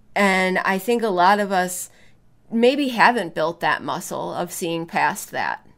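Pitch variation is ordinary and the pace fairly slow. The recording is very clean, with a silent background. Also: woman, medium pitch for a woman. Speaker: podcast co-host. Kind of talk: casual chat. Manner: playful, animated.

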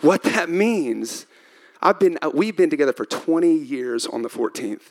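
Animated and with lively intonation, a man speaks in a Texan accent. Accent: Texan Southern US. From Texas. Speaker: pastor. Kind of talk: sermon. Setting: church stage with audience.

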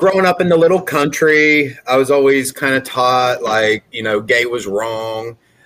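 Speaking in an ordinary speaking voice with an American accent, a man keeps a moderate pace and medium pitch, shows ordinary pitch variation, and takes hardly any pauses. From US Midwest, southern Ohio near West Virginia. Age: 40s. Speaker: recovering alcoholic sharing story. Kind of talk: testimony.

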